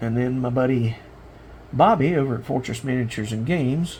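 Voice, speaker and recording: Relaxed in tone, a man speaks with a Southern US accent at a moderate pace. His pitch is medium, with ordinary variation. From South Carolina. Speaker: miniature painting hobbyist. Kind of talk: casual hobby tutorial monologue. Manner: relaxed, many fillers.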